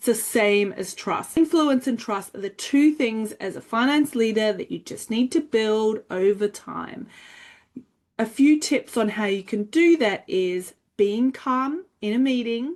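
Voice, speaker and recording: A woman with an Australian accent has a fairly high pitch and lively intonation. She keeps a fairly slow pace. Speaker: finance educator. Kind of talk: tutorial.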